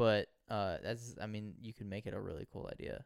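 A man speaks at a moderate pace with fairly low pitch, fairly even intonation, and a normal speaking voice. The very clean recording has a silent background and a dry, close sound with no echo. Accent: American. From US South. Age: 20s. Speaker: podcast co-host. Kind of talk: casual chat.

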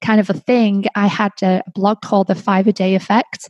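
A woman with an English accent talks at a fairly slow pace in a somewhat breathy, medium-pitched voice, with a dry, close sound and no echo. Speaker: podcast host. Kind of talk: casual monologue.

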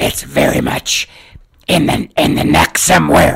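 Putting on a character voice, a man speaks at a fairly slow pace in a guttural, raspy, strained and nasal way.

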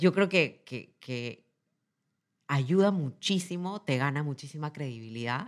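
In a Peruvian accent, a woman speaks with a very deep, low pitch and lively intonation. The recording is very clean, with a silent background. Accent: Peruvian Spanish (Lima). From Peru, Lima. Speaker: corporate executive. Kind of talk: interview testimony. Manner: halting, repetitive.

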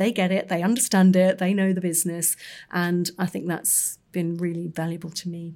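A woman with a London accent speaks at a moderate pace in a fairly low pitch, her dark, mellow tone delivered in a monotone, flat intonation on a very clean recording with a silent background. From North London. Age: 50s. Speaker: magazine editor. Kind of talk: casual chat.

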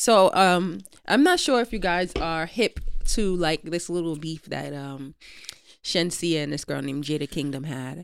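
A woman with an unremarkable speaking voice talks at a fairly low pitch and a fairly slow pace, with lively intonation. The recording is very clean, with a silent background. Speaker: podcast co-host. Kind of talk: casual chat.

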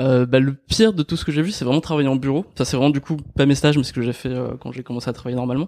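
Using a fairly high pitch with ordinary pitch variation, a man with a dark, mellow tone talks at a very fast pace. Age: 20s. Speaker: YouTuber on personal development. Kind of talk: casual chat.

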